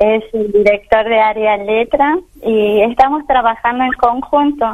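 A woman talks at a fairly slow pace in a fairly high voice. Her pitch variation is ordinary. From Argentina, Chaco. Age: 50s. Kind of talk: radio interview. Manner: halting.

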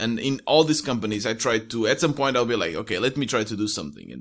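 In a very clean recording with a silent background, a man with a Portuguese accent talks with ordinary pitch variation. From Portugal. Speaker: solo entrepreneur, podcaster. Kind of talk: casual interview.

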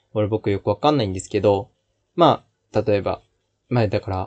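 At a fairly quick pace, a man with a dark, mellow tone speaks in a dry, close recording with no echo and a quiet background. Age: 20s. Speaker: podcast host, aspiring actor. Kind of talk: casual solo talk. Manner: halting, many fillers.

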